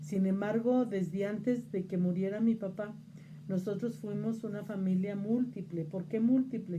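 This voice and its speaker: A woman's somewhat breathy voice at medium pitch, dark and mellow in tone, at a fairly slow pace with ordinary pitch variation, plus audible room echo. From Mexico, Zacatecas. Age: 60s. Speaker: interviewee on local religious tradition. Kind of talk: interview. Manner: hesitant fillers (este, eh).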